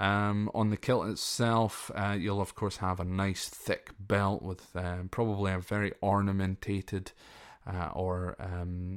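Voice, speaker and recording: With a Scottish accent, a man talks at a fairly slow pace in a fairly low pitch with fairly even intonation, on a very clean recording with a silent background. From Scotland. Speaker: podcast host. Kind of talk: solo podcast monologue, informal educational talk. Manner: informal, hesitant with many fillers.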